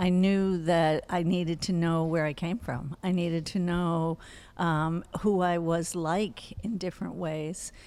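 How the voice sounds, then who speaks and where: A woman with an ordinary speaking voice talks at a fairly slow pace, fairly low in pitch with fairly even intonation, in a very clean recording with a silent background. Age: 60s. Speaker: psychologist and family therapist. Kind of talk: interview.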